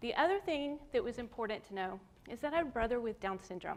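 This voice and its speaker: A woman with a Southern US accent, a fairly high pitch, lively intonation and a moderate pace. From US South. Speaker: artist. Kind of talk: lecture.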